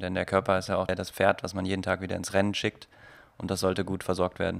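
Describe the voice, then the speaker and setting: The recording is very clean, with a silent background. A man speaks with a very deep, low pitch. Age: 20s. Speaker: photographer and filmmaker. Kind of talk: casual interview.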